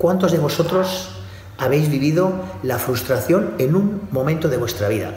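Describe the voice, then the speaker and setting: Very wide pitch swings mark this fairly slow delivery, heard through noticeable background noise and audible room echo. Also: man. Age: 40s. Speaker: bodybuilding coach. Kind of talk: motivational monologue.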